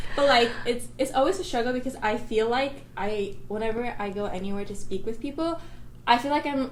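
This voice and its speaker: There is audible room echo around a woman with a high pitch. She talks at a fairly quick pace with ordinary pitch variation. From United States. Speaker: college student. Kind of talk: casual chat. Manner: hesitant, many fillers.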